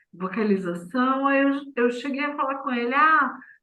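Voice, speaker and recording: A woman speaks with lively intonation. There is audible room echo. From southern Brazil, Vale do Taquari, Rio Grande do Sul. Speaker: poet and performer. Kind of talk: interview. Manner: very slow speech.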